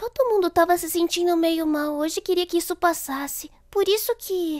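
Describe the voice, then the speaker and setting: A woman at a moderate pace, with ordinary pitch variation, against a quiet background. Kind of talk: acted dubbing of anime dialogue. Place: home room. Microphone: studio mic.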